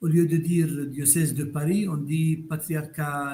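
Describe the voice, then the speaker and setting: A man speaks at a very slow pace with fairly even intonation. His pitch is fairly high. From Palestine, Bethlehem. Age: 70s. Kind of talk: interview.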